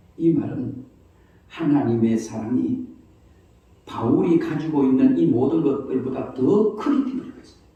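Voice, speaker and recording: Very slow speech from a man, with audible room echo. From Gyeongsang province, South Korea. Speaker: pastor. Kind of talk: sermon. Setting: church.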